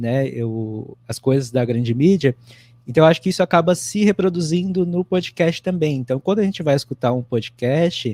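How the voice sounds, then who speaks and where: Lively intonation marks this man's fairly high voice, which carries a dark, mellow tone. He moves at a moderate pace, and the sound is dry and close with no echo. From São Paulo, Brazil. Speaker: writer, podcaster. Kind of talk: online panel discussion.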